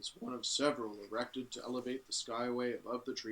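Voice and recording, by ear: Here someone is reading aloud in a natural voice with fairly even intonation.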